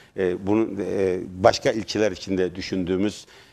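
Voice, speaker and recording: Fairly slow, fairly even speech over a quiet background. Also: man. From Turkey, Merzifon. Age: 50s. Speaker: mayoral candidate. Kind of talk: TV interview. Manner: halting.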